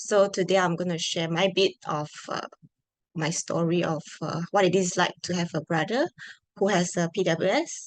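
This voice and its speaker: A woman with a Malaysian accent, fairly low pitch and fairly even intonation, in a dry, close sound with no echo. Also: moderate pace. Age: 20s. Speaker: product manager. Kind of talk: conference talk.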